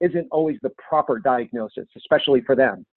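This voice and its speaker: A plain, everyday voice belongs to a man with a fairly high pitch. His intonation is lively, and his pace is moderate. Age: 50s. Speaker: wellness author and fitness consultant. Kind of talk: interview.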